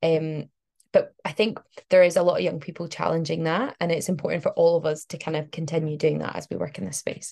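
A woman's fairly low, dark and mellow voice with a Glasgow accent, vocal fry, fairly even intonation and a fairly quick pace. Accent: Glasgow Scottish. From Scotland, Glasgow. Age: 20s. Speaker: climate activist and PhD researcher. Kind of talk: interview.

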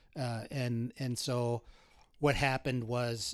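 A man's medium-pitched voice with an Upper Midwest accent at a very slow pace, on a very clean recording with a silent background. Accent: Upper Midwest American. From North Dakota, Bismarck. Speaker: criminal defense attorney. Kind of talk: interview conversation.

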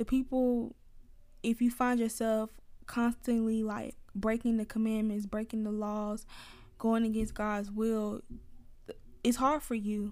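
With an Atlanta accent, a woman speaks fairly slowly in a dark, mellow tone, her fairly high pitch held monotone and flat. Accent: Atlanta, Southern US. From US South, Atlanta. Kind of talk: casual faith talk monologue. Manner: conversational, laughs often.

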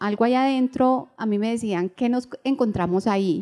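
A woman talks with ordinary pitch variation. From Colombia, Bogotá. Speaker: novelist. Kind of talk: live interview before audience. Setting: stage with audience at book fair. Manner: halting, many fillers and repetitions.

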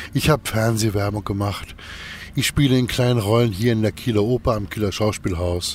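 A man's medium-pitched voice at a moderate pace amid noticeable background noise. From northern Germany, Kiel. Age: 50s. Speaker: actor and musician. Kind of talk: interview. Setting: outdoors in a park.

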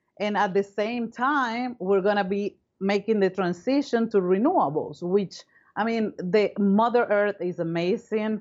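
Someone with a Spanish accent speaks at a fairly slow pace with ordinary pitch variation. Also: woman, medium pitch for a woman. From Venezuela, Caracas. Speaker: foundation co-founder, climate philanthropist. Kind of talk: interview.

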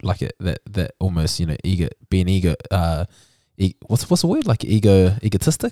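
A man with a New Zealand accent speaks at a moderate pace in a very deep, low voice with a dark, mellow tone and ordinary pitch variation, the very clean recording dry and close with no echo and a silent background. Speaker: podcast host. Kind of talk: casual interview.

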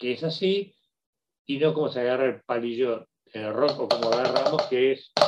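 A man speaks at medium pitch. His pace is moderate. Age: 50s. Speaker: radio host. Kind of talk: solo radio commentary.

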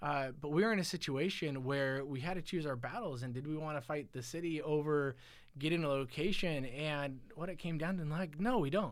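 There is audible room echo as a man speaks at a fairly quick pace. His pitch is fairly high. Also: ordinary pitch variation. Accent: American. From California, Silicon Valley. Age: 40s. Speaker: guest. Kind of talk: casual chat. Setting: studio.

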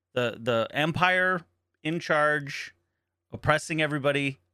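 A man with an unremarkable speaking voice, fairly high in pitch, at a fairly slow pace with ordinary pitch variation, on a very clean recording against a silent background. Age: 40s. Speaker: podcast co-host and streamer. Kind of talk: casual chat.

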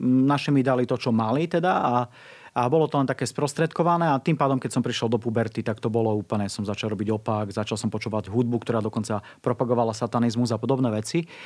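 A man at medium pitch, very fast pace and ordinary pitch variation, in a very clean recording with a silent background. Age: 40s. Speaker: evangelist. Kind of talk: interview testimony. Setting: studio.

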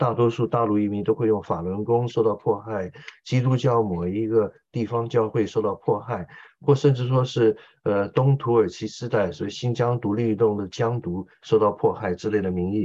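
The pace is moderate. A man speaks at medium pitch with a dark, mellow tone. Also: ordinary pitch variation. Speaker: interpreter and military commentator. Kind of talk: political commentary interview.

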